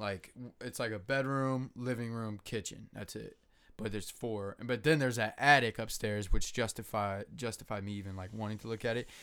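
At a moderate pace, a man of medium pitch speaks in an animated tone on a very clean recording with a silent background. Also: big swings in loudness. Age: 20s. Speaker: podcast co-host. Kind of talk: casual chat. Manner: casual, profane, animated.

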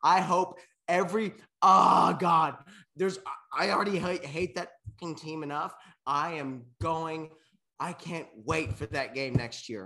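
A man's fairly high, lively voice at a fairly slow pace, an ordinary speaking voice. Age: 20s. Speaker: podcast co-host. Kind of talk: casual chat.

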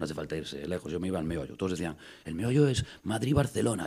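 With a Galician accent, a man speaks very fast at a very deep, low pitch, his dark, mellow tone making very wide pitch swings. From Galicia, Spain (Costa da Morte, Fisterra area). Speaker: actor and local councillor. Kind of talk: casual chat.

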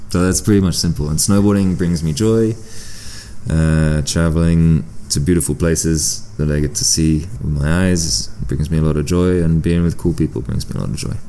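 A man's very deep, low voice at a moderate pace, with lively intonation and noticeable background noise. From southern France, born in UK. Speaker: professional snowboarder. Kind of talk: casual interview chat. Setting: empty hotel near a pool.

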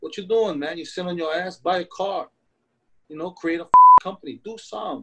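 A man talks at a moderate pace. He has a New York accent. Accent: New York (Bronx) English. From Philippines, raised in South Bronx, New York. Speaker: chef. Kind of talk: interview. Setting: video call. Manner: animated.

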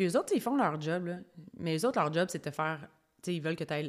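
A woman speaks at a very fast pace in a fairly low pitch with a Quebec accent. The recording is very clean, with a silent background. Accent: Québécois French. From Quebec, Estrie (Brompton near Sherbrooke). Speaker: podcast host, personal development coach. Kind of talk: solo podcast monologue. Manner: animated.

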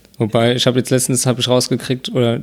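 This man talks at a very fast pace in a flat monotone at medium pitch. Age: 20s. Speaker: podcast co-host. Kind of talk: casual chat. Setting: at co-host's home.

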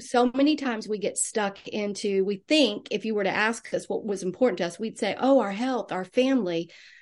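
Against a quiet background, a woman with an unremarkable speaking voice talks at medium pitch with ordinary pitch variation. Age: 60s. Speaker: nurse and wellness coach. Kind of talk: interview conversation.

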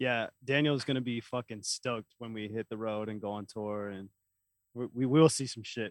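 A man with an American accent speaks at a moderate pace and medium pitch, with fairly even intonation, in a plain, everyday voice. The sound is dry and close, with no echo. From Oklahoma. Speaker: musician. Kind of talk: casual chat.

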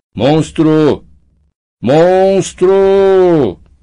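A man shouts loudly in a put-on character voice. His pitch runs high. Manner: shouting, calling out loudly.

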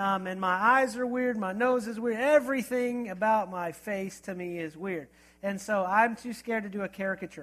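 At a moderate pace, a man talks at a high pitch with ordinary pitch variation. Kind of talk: sermon. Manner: casual, conversational.

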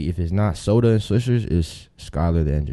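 In an American accent, the speaker has a dark, mellow tone and ordinary pitch variation, moving at a fairly quick pace against a quiet background. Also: man. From Tampa, Florida. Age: 20s. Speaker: rapper. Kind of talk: casual chat.

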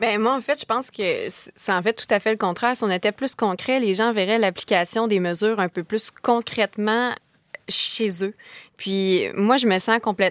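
A woman with a Quebec accent speaks at a moderate pace in a fairly high voice, with fairly even intonation and very even loudness. The sound is dry and close, with no echo. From Quebec, Kamouraska. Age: 20s. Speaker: law student. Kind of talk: panel discussion.

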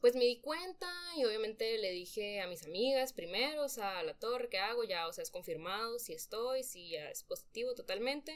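A woman talks at a fairly high pitch with very wide pitch swings and big swings in loudness. Her pace is moderate, with hardly any pauses. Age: 20s. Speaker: young mother, nutrition graduate. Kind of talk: personal testimony in a podcast interview.

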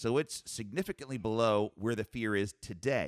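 A man's fairly low voice at a fairly slow pace, confident and upbeat in tone. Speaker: radio host and financial advisor. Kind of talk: radio show banter about markets; at 14:49 a polished infomercial ad read. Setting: radio studio, several people around a table. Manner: confident, conversational, brisk; in the ad smooth, upbeat, pitchy salesman delivery.

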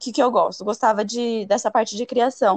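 The woman's voice sits at a high pitch. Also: dry, close sound with no echo. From Brazil, Paraná. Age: 30s. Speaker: fashion designer and environmental engineer. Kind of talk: interview.

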